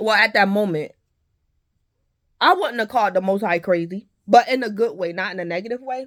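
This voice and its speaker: Loud and at a fairly quick pace, a woman speaks in a very clean recording with a silent background. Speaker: tarot reader and content creator. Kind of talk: spoken testimony monologue.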